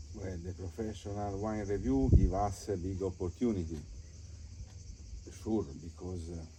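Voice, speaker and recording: A man's very deep, low voice, dark and mellow in tone and somewhat breathy, at a moderate pace with ordinary pitch variation and long, frequent pauses. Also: big swings in loudness. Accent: Italian. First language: Italian. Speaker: wine estate owner. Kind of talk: casual interview. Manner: halting.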